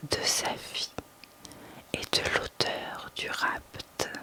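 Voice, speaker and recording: A soothing whisper at a very slow pace, with noticeable background noise. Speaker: sophrologist and ASMR whisper reader. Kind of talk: whispered reading of a mythology text, sleep and relaxation story. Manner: whispered, slow, soothing.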